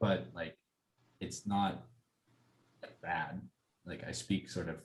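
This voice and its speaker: A man with an American accent speaks at a moderate pace in a very deep, low pitch with vocal fry. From US Southwest, Albuquerque, New Mexico. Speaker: design student. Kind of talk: casual chat. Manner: hesitant, many fillers.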